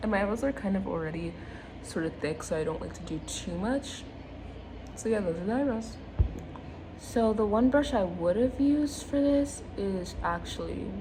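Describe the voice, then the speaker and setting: Speaking at a medium pitch with lively intonation, a woman leaves long, frequent pauses. Audible room echo and noticeable background noise surround her voice. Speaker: beauty vlogger. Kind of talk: makeup tutorial. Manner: fast; casual, chatty.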